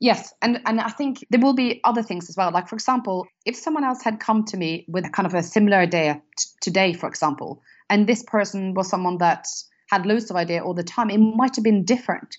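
A woman talks at a fairly quick pace with a Norwegian accent. Her pitch is medium, with ordinary variation. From Norway. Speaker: business founder and CEO. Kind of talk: casual interview chat.

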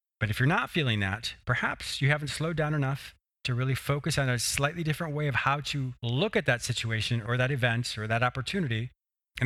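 A man with a medium pitch at a very fast pace, on a very clean recording with a silent background. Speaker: podcast host and psychotherapist. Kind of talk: interview and self-help talk. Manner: fast talker; enthusiastic, laughs often.

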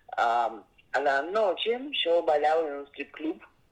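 In a Russian accent, a woman talks at a fairly slow pace with lively intonation. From Russia, Saint Petersburg. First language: Russian (speaking Spanish). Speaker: investigative journalist and author. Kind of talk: interview. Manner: halting, frequent fillers.

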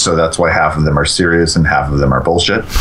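Background noise is clearly present. Through it, a man talks. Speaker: gaming forum writer. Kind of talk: casual chat.

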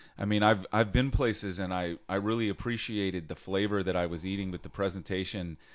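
With an ordinary speaking voice, a man talks at a fairly quick pace, his fairly low pitch carrying fairly even intonation. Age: 40s. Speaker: podcast host. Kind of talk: casual chat; solo monologue intro. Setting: studio.

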